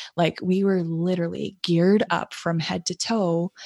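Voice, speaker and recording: A woman with an American accent speaks at a moderate pace in a fairly low pitch with fairly even intonation, using an ordinary speaking voice that sounds dry and close with no echo against a quiet background. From United States. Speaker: nurse practitioner and podcast host. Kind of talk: casual interview.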